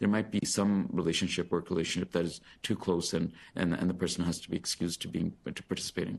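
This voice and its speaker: Very deep and low, a man's voice rushes along at a very fast pace with fairly even intonation. The background is quiet. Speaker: physician giving equity training to a hiring committee. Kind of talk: presentation at a committee meeting.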